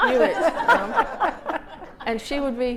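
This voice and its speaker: A woman with a Manchester accent speaks with lively intonation. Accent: northern English (Manchester). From England, Manchester area, Irish family. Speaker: author and storyteller. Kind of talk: casual storytelling at author event. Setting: hotel salon talk with audience. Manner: animated, acts out family voices.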